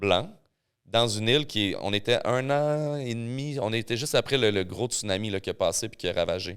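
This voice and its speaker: In a Quebec accent, a man talks at a moderate pace with an animated tone, medium pitch, and ordinary pitch variation, captured in a very clean recording with a silent background. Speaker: mixologist and rum expert. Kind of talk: casual chat.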